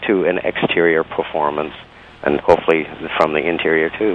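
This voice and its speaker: A man's voice amid noticeable background noise. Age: 60s. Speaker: dancer and entertainer. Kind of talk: interview. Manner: halting, many fillers.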